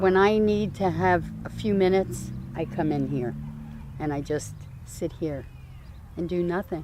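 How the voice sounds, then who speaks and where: In a New Jersey accent, a woman speaks at a fairly slow pace with long, frequent pauses and audible room echo. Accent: New Jersey American. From New Jersey, US. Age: 60s. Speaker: community garden founder. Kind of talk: interview. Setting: outdoors.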